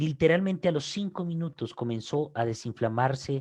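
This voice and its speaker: Against a quiet background, a somewhat breathy man speaks at a moderate pace with lively intonation. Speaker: pastor. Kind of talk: sermon. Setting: online broadcast. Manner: repetitive, emphatic.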